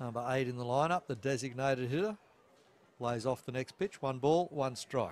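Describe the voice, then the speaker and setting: This man has an Australian accent. He talks at a medium pitch. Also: ordinary pitch variation, moderate pace. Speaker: baseball commentator. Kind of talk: live sports commentary. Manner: conversational, relaxed with filler words.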